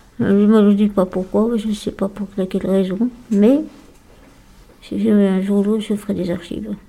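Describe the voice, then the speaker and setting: A woman's somewhat breathy, dark, mellow voice stays monotone and flat, broken by long, frequent pauses. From France, Lyon area. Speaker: day-care psychiatric patient. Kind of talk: radio interview. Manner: halting.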